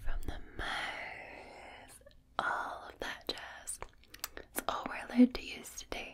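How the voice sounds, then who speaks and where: She whispers her words. The pace is very slow. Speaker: video creator. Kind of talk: soft spoken relaxation video chat. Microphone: studio mic.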